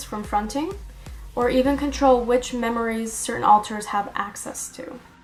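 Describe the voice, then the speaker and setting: A woman speaks at a moderate pace with a high pitch. Music plays in the background. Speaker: mental health educator. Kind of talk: educational talk to camera. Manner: monotone.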